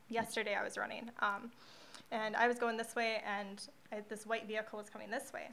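Fairly high in pitch, a woman speaks at a fairly quick pace. Her intonation is monotone and flat, with noticeable background noise. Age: 20s. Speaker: social media marketer. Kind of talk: casual chat.

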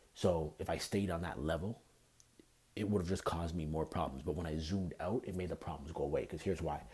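In a Canadian accent, the speaker talks at a very fast pace with a somewhat breathy voice and a dark, mellow tone. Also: man, very deep, low pitch for a man, ordinary pitch variation. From Canada. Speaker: podcast host. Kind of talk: solo podcast talk.

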